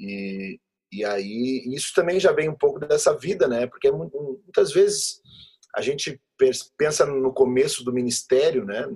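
A man's voice sits fairly high and swings very widely in pitch. He talks at a fairly slow pace. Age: 30s. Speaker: pastor. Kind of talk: interview conversation.

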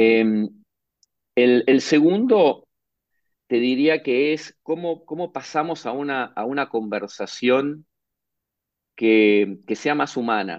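A man speaking at a very slow pace with lively intonation and long, frequent pauses, against a quiet background. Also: medium pitch for a man. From Argentina, Buenos Aires. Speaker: management consultant. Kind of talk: interview.

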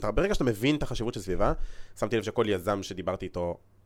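In a very clean recording with a silent background, a man speaks at a very fast pace with lively intonation. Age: 20s. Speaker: podcast host. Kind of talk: casual interview chat.

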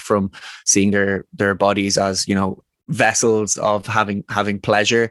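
Dry and close with no echo, a man's fairly low voice stays monotone, with flat intonation. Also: very clean recording, silent background. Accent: Dublin. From Ireland, Dublin. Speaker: men's work facilitator. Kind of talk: casual interview conversation.

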